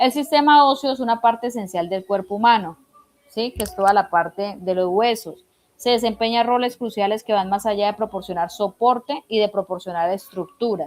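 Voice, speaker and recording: At a moderate pace, a woman speaks in an ordinary speaking voice at a fairly high pitch with ordinary pitch variation. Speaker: instructor. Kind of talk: online lecture. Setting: video call.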